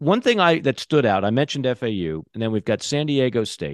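A normal speaking voice from a man at medium pitch moves at a moderate pace with lively intonation. The sound is dry and close with no echo, over a quiet background. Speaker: podcast host. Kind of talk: casual chat.

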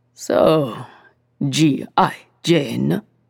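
In a put-on character voice, a woman speaks with a raspy, very deep, low pitch. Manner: teasing.

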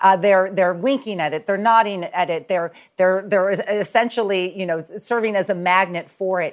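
In a plain, everyday voice, a woman speaks at medium pitch and a moderate pace, her intonation fairly even and her delivery with hardly any pauses. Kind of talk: TV news interview.

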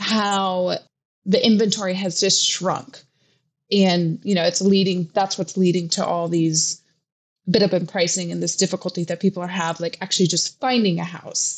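A woman with an American accent speaks at a moderate pace and medium pitch in an unremarkable speaking voice. The background is quiet. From US Pacific Northwest. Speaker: real estate reporter. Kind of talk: casual chat.

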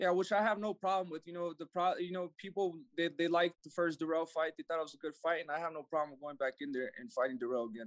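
Very fast speech with hardly any pauses, ordinary pitch variation, and a dry, close sound with no echo. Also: man, high pitch for a man. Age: 20s. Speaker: professional boxer. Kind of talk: interview.

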